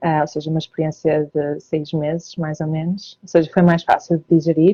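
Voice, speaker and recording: This woman has a very deep, low pitch and a dark, mellow, somewhat breathy tone. Her intonation stays monotone and flat at a moderate pace. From northern Portugal, Porto. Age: 30s. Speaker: emigrant interviewee, self-employed marketer. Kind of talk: interview. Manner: hesitant, many fillers.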